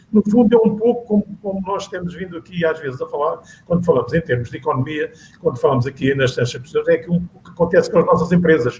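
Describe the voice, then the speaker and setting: Very fast in pace, a man talks at a high pitch. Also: lively intonation, big swings in loudness. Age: 70s. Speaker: panel guest on local politics talk show. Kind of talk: panel discussion. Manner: halting, many repetitions.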